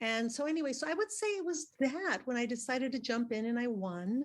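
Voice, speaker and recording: At a moderate pace, a woman is talking. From born in Mexico, grew up in South Texas. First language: Spanish. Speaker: actress and academic. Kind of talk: interview storytelling.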